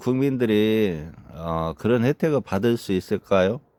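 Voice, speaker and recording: Over a very clean recording with a silent background, a man speaks at a fairly slow pace in a dark, mellow tone with very wide pitch swings. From South Korea, Chungcheong (Boeun, North Chungcheong). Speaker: retired army officer turned farmer and dog breeder. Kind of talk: personal vlog monologue. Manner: halting, frequent fillers.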